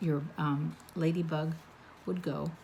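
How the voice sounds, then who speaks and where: A woman is speaking. She is soft-spoken. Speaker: card-making instructor. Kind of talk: tutorial. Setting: home craft room, late at night. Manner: quiet, soft-spoken.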